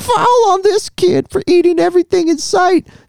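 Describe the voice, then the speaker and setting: At a moderate pace, the put-on character voice speaks at an extremely high pitch. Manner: mocking, derisive.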